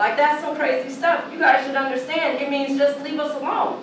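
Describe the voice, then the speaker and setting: A woman talks at a fairly quick pace with a high pitch. Audible room echo and light background noise are present. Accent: American. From Portland, Oregon. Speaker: activist and panelist. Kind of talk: passionate panel speech. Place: hall.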